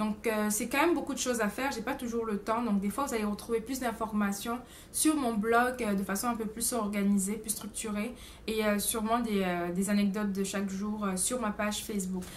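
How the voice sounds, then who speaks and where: There is audible room echo around a woman's somewhat breathy voice. She speaks at a moderate pace and a fairly high pitch, with fairly even intonation. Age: 20s. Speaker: au pair vlogger. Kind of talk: casual vlog monologue. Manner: hesitant, many fillers.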